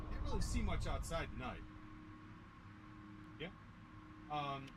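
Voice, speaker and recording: A man speaks at a fairly slow pace. Echo from the room is audible. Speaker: flight sim streamer. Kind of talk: casual live-stream chat. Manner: casual, halting with fillers.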